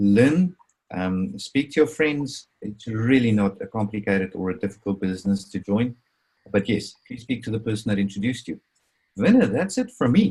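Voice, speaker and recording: With an Afrikaans accent, a man speaks at a medium pitch and a moderate pace, his voice somewhat breathy with a dark, mellow tone and lively intonation. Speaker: crypto presenter. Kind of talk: webinar presentation. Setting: video call.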